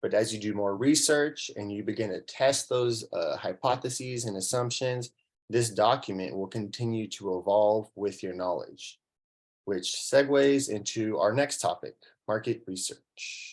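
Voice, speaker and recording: A man speaks in a plain, everyday voice at medium pitch, with ordinary pitch variation. His pace is moderate, and the background is quiet. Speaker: workshop presenter. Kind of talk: lecture.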